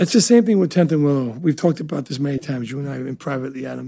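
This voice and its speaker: This man has a New Jersey accent and a dark, mellow tone that is somewhat breathy. His pitch sits fairly high, with ordinary pitch variation. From New Jersey (Elizabeth), Italian immigrant family. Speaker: restaurateur. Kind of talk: casual interview.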